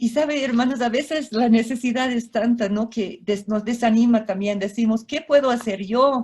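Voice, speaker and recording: In a plain, everyday voice, a woman with a fairly high pitch keeps a moderate pace, fairly even intonation and hardly any pauses. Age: 60s. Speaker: missionary speaker. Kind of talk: sermon.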